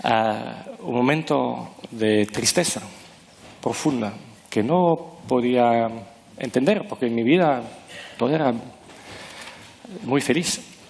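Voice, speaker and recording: A man with a non-native accent and a medium pitch, at a very slow pace with long, frequent pauses and lively intonation, over noticeable background noise. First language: not Spanish (speaking Spanish). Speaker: author and former management consultant. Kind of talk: interview. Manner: halting, searching for words.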